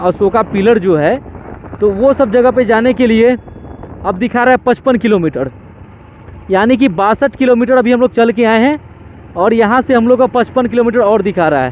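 The speech moves at a moderate pace. The sound is dry with no echo, with light background noise. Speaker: motovlogger. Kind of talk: casual vlog chat. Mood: frustrated, regretful. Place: motorbike. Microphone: helmet.

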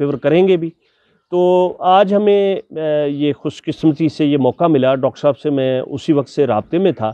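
A man with a fairly high pitch speaks slowly, at a fairly slow pace, with lively intonation. The sound is dry with no echo, and the background is quiet. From Pakistan. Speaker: interviewer, teacher. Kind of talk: interview. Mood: warm, respectful. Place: garden. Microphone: lapel.

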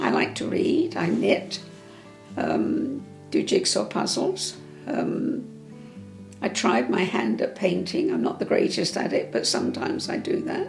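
Speech comes at a fairly slow pace with audible room echo and faint music in the background. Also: woman. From England. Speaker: interviewee. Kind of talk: interview answer. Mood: warm, reminiscing. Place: home room. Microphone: lapel.

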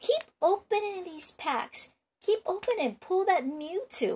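The put-on character voice unfolds fairly slowly. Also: woman, extremely high pitch for a woman. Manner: urgent, hyping.

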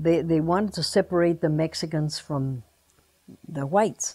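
A woman with a dark, mellow tone and ordinary pitch variation speaks against a quiet background. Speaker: interviewee. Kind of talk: interview answer. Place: home room.

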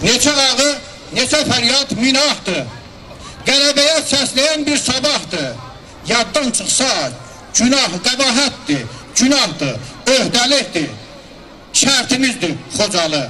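Over light background noise, a man with an extremely high pitch uses a raised, projected voice and lively intonation at a very slow pace with long, frequent pauses. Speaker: commemoration speaker / emcee. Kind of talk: commemorative speech. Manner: solemn, emotional. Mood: solemn, mournful. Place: street. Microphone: handheld.

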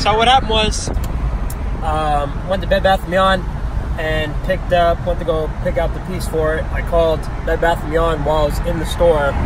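Noticeable background noise accompanies a man speaking at a moderate pace in a dry sound with no echo. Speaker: vlogger. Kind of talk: casual vlog chat. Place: car. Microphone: phone near.

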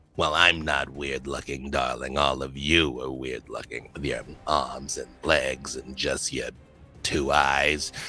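A man puts on a raspy character voice at a very deep, low pitch, speaking fairly slowly. Clear music plays in the background. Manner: indignant, haughty.

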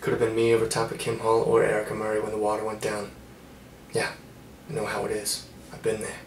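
A man talks at a very fast pace. Light background noise and audible room echo are present. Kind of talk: casual comedic monologue. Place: bathroom. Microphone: phone near.

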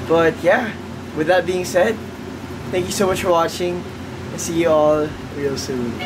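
A man is speaking. Background noise is noticeable. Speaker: vlogger. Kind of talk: casual vlog chat. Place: home room. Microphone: phone near.

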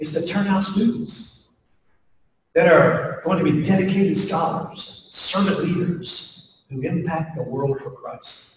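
A man with an American accent, high-pitched for a man, at a very slow pace with ordinary pitch variation, plus audible room echo and light background noise. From US Appalachia (West Virginia). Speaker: pastor and leadership speaker; speaker. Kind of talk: keynote talk to faculty, closing with prayer. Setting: stage with audience at faculty retreat. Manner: folksy, conversational with frequent fillers. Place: hall. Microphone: camera far.

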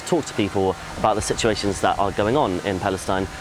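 Noticeable background noise under a man's dry sound with no echo. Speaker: volunteer. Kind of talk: testimony. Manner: halting. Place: street.

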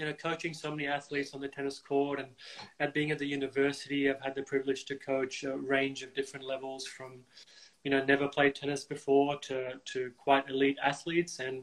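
The delivery is monotone, with flat intonation. It moves at a fairly quick pace. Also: man. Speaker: tennis coach host. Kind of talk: interview conversation. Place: home room. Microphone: video call.

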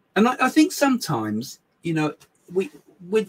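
A man with an English accent, a somewhat breathy voice, very wide pitch swings and a moderate pace. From England. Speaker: psychic medium and live show host; live show host. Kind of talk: casual live chat. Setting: live stream from small home office. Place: home room.

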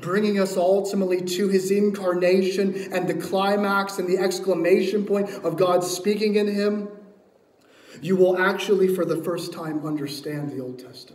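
Strong room echo surrounds a man speaking at a moderate pace, his pitch high and his intonation fairly even, with a slightly mellow tone.

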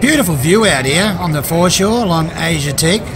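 Crowd noise fills the background as a man speaks at a moderate pace. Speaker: travel vlogger. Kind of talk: casual vlog commentary. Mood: relaxed, appreciative. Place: waterside. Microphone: phone near.

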